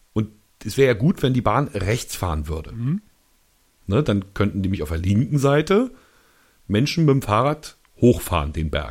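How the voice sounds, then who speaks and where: Pausing long and often, a man speaks in a fairly low, somewhat breathy voice with very wide pitch swings. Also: moderate pace. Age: young. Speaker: podcast co-host. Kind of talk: casual chat.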